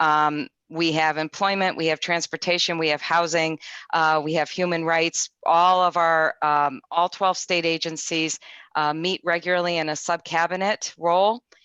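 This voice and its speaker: A woman with a New England accent speaks in a bright, sharp tone, with very even loudness and fairly even intonation. The sound is dry and close with no echo, over a quiet background. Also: fairly low pitch for a woman, moderate pace. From Connecticut. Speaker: state government official. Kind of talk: panel presentation.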